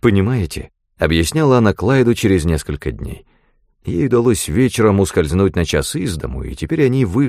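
It is a natural reading voice with lively intonation. The background is quiet.

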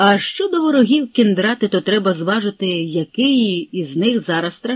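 Read aloud in a natural voice, the passage moves with lively intonation.

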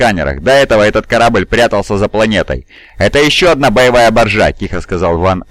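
The speaker reads in an unforced voice.

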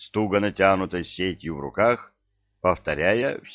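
With ordinary pitch variation, the text is read aloud in a natural voice over a quiet background.

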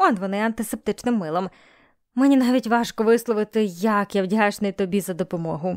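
Someone is reading aloud in a natural voice.

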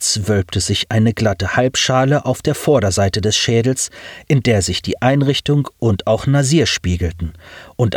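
Natural-voiced reading aloud

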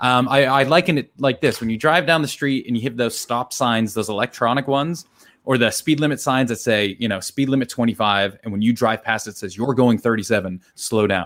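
Speaking at a fairly quick pace with hardly any pauses, this American-accented voice has ordinary pitch variation and is an unremarkable speaking voice. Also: man, medium pitch for a man. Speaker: neuroscientist and author. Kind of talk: casual chat. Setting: video call from garage.

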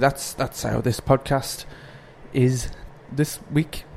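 Talking at a moderate pace with a Northumbrian accent, a man with a fairly high pitch keeps his intonation fairly even over noticeable background noise. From Northumberland, England. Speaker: podcast host. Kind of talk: casual chat. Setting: home kitchen.

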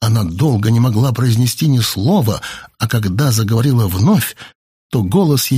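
Plain reading aloud plays against a quiet background.

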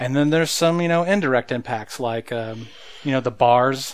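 In an American accent, a man talks with a plain, everyday voice at medium pitch, with ordinary pitch variation and a moderate pace, on a very clean recording with a silent background. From rural Oklahoma. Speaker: podcast co-host. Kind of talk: casual chat. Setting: studio.

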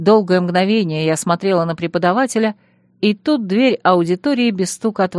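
The pitch variation is ordinary in this plain reading aloud.

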